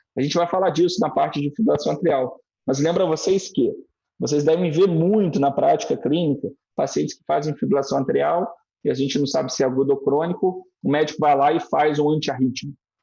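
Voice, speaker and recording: Pitched fairly high for a man, his dark, mellow voice moves at a fairly quick pace with vocal fry, ordinary pitch variation and big swings in loudness. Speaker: cardiologist. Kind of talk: lecture. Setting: online live stream. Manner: fast.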